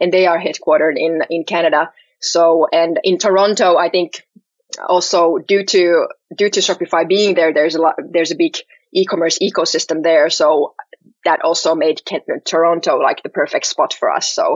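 In a Finnish accent, a woman speaks at a moderate pace with very even loudness. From Finland, Helsinki. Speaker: startup CEO and co-founder. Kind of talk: podcast interview.

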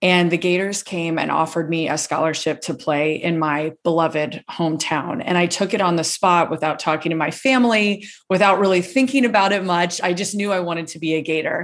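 This is a woman with a fairly low pitch and an American accent, using ordinary pitch variation. It is a normal speaking voice. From US South, Gainesville, Florida. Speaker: author and public speaking coach. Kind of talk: casual interview.

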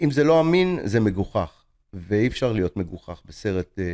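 Speaking fairly slowly in a dark, mellow tone, a man with a medium pitch makes very wide pitch swings, the sound dry and close with no echo. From Israel. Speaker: film director and teacher. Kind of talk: interview.

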